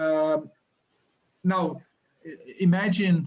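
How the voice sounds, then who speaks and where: A man's high-pitched voice in a Brazilian accent. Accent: Brazilian accent, noticeable. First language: Portuguese. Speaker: university lecturer. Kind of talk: interview. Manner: halting, many repetitions and fillers.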